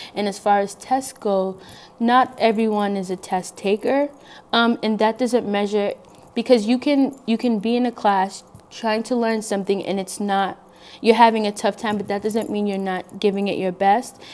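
The woman's intonation is fairly even. She keeps to a moderate pace. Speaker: guest. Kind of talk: interview answer. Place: studio.

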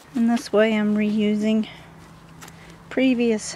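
A woman talks at a very slow pace over light background noise. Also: dry sound with no echo. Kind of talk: casual gardening tutorial.

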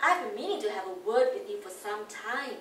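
A woman's high voice with very wide pitch swings and a fairly slow pace, amid audible room echo and light background noise. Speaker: reader in a scripted dialogue. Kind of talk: read-aloud script, play reading. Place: classroom. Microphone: camera far.

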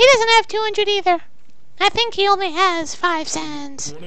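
This is a put-on character voice, squeaky and pitched extremely high. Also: moderate pace. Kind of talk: comic overacting. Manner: shrill, panicked, screaming.

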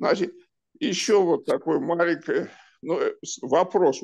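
Against a quiet background, this man talks at a moderate pace. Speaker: audience member. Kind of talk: discussion. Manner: halting.

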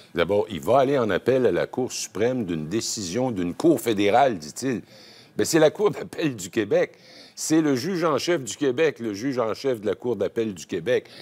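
This man talks at a moderate pace. His pitch swings very widely. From Quebec. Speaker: political analyst. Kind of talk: TV panel debate. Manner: animated. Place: studio.

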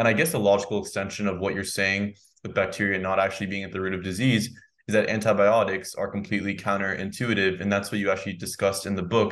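A man with an American accent talks at a very fast pace in a fairly low pitch. His intonation is monotone and flat, and the background is quiet. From United States. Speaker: podcast host. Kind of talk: interview. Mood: friendly, enthusiastic. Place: home room. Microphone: studio mic.

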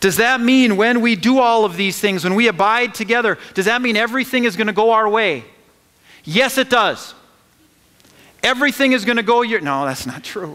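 Against a quiet background, a man speaks in a raised, projected voice with a high pitch, ordinary pitch variation and a moderate pace. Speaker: pastor. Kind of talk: sermon. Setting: church. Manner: animated, call-and-response preaching; emphatic, repeating phrases for emphasis. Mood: earnest, rhetorical questions. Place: church.

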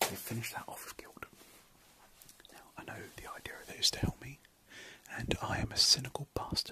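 A man is whispering at a moderate pace. His loudness swings widely, and he leaves long, frequent pauses. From British. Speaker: ASMR creator. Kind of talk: ASMR late-night ramble. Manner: whispered; soft-spoken. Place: home room. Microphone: phone near.

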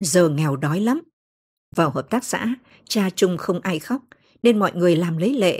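A woman speaks at a fairly slow pace in a medium-pitched, somewhat breathy voice with lively intonation. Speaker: audiobook narrator. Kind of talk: audiobook novel reading.

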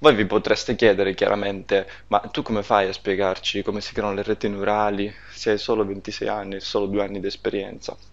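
Here a man talks at a fairly quick pace. His fairly low voice stays monotone and flat. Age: 20s. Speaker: data scientist and course instructor. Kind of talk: course introduction. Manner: hesitant, frequent filler sounds.

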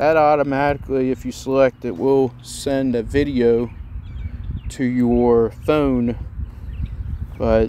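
A man speaks with fairly even intonation. The sound is dry with no echo, over light background noise. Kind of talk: tutorial.

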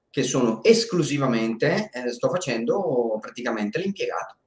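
A man talks at a moderate pace with lively intonation, and audible room echo surrounds his voice. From northern Italy, Bergamo area; northern Italy. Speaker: documentary filmmaker and video editor; interview guest. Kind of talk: live stream interview. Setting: live stream. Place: home room. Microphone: video call.

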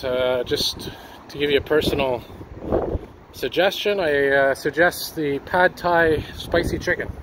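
A man at a fairly slow pace and fairly high pitch, with ordinary pitch variation and noticeable background noise. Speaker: walking-tour vlogger. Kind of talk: casual vlog narration. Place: street. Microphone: phone near.

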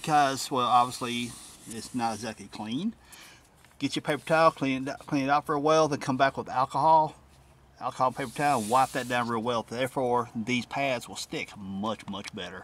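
The speech runs at a fairly quick pace with ordinary pitch variation and a dry sound with no echo. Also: man. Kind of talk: tutorial. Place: car. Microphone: phone near.

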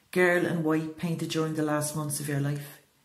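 A woman with an Irish accent, very deep and low in pitch, somewhat breathy, in a monotone, flat intonation. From Ireland. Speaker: poet. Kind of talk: spoken word poetry reading.

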